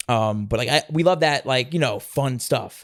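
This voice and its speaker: A man speaks in a New York accent with an energetic tone. The recording is very clean with a silent background. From New York City (Staten Island). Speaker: professional wrestler. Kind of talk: interview. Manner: fast.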